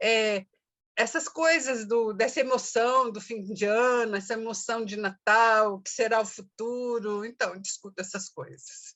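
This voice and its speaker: Loudness swings widely throughout. The intonation stays fairly even. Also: woman, fairly high pitch for a woman, fairly slow pace. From Brazil, São Paulo. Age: 60s. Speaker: activist and poet. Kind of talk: interview. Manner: halting, many fillers.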